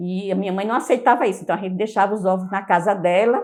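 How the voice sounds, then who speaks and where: The voice belongs to a woman. Her pitch is medium. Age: 60s. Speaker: Franciscan lay member recalling a late friend. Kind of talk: personal testimony. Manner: hesitant, with frequent repetitions and fillers.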